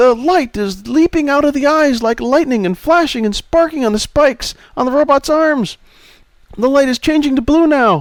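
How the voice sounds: Putting on a character voice, a man speaks at a moderate pace in an extremely high, strained register.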